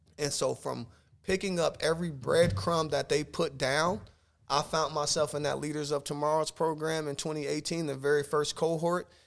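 A man's normal speaking voice, fairly high in pitch, at a moderate pace with fairly even intonation, on a very clean recording with a silent background. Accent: American. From Omaha, Nebraska. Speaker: life coach and educator. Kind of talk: casual interview. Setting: studio.

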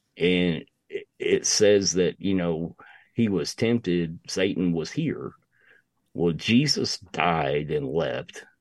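The speech is very slow, with lively intonation. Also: man, very deep, low pitch for a man. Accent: Appalachian. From US South, East Tennessee. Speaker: podcaster. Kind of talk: casual chat.

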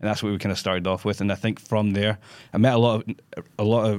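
Speaking very fast in a flat monotone, a man with a fairly low voice is heard on a very clean recording with a silent background. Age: 30s. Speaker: screenwriter and director. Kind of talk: casual chat. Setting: studio.

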